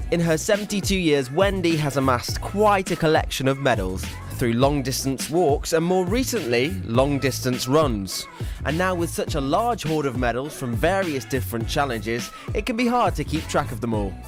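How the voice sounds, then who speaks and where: A man at a fairly high pitch and moderate pace, his voice swinging very widely in pitch, with music in the background. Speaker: TV presenter. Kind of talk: TV feature voiceover and interviewer.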